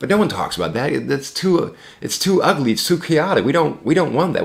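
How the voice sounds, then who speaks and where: A man with a fairly high pitch and vocal fry speaks at a moderate pace, his intonation lively and his tone animated. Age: 30s. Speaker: vlogger. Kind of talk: casual monologue. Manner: animated, rambling with self-corrections.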